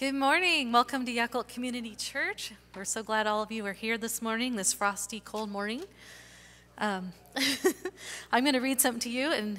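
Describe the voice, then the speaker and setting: A woman's voice at a moderate pace with ordinary pitch variation. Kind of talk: church welcome and scripture reading. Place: church.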